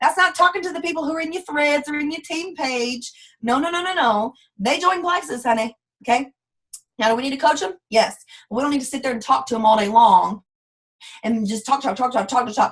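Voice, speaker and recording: A woman with a Southern US accent speaks at a fairly quick pace. Her pitch is high and her intonation lively. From US South. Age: 20s. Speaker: network marketing leader. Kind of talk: live training call. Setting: conference call.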